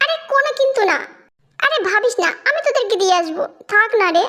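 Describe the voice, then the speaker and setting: A woman's put-on character voice at an extremely high pitch, moderately paced, with very wide pitch swings. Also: very even loudness. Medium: read story. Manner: warm, coaxing.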